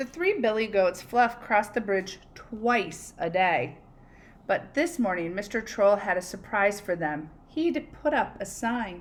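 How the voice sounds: A woman speaks at a medium pitch with lively intonation. Her pace is fairly slow.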